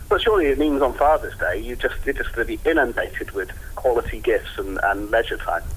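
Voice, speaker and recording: A man speaks at a very fast pace with an English accent. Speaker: motorsport journalist. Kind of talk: casual chat.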